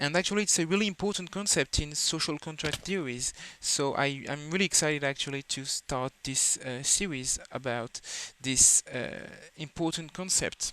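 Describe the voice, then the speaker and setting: With a non-native accent, a man of fairly high pitch talks at a moderate pace in a bright, sharp tone, the sound dry and close with no echo. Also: ordinary pitch variation. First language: not English. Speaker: philosophy video creator. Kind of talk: educational lecture. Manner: halting, many fillers.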